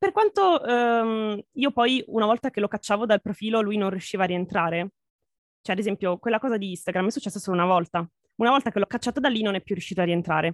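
On a very clean recording with a silent background and a dry, close sound with no echo, a woman speaks at a very fast pace at a medium pitch with ordinary pitch variation. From Italy. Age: 20s. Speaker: VTuber and graphic artist. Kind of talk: casual interview.

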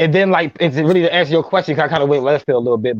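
Music plays behind a man with a fairly high pitch and an American accent, speaking very fast with ordinary pitch variation in a dry, close sound with no echo. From Minneapolis, Minnesota. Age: 30s. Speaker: relationship podcaster. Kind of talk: casual chat.

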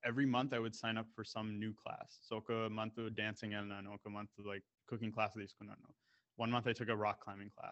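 Over a quiet background, a man with an American accent races along very fast in a fairly low, monotone, flat voice. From Canada and the US, of Indian descent. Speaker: MBA student. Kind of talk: casual interview. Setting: video call.

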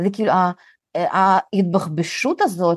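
A woman talks at a very slow pace. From Russian-speaking country, immigrated to Israel as a child (1991). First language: Russian (speaking Hebrew). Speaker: content creator and community founder. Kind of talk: casual chat.

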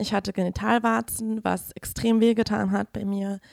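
With a dry, close sound and no echo, a woman speaks in a plain, everyday voice at medium pitch and a moderate pace. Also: very clean recording, silent background. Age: 20s. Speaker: feminist activist sharing experience. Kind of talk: testimony. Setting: studio.

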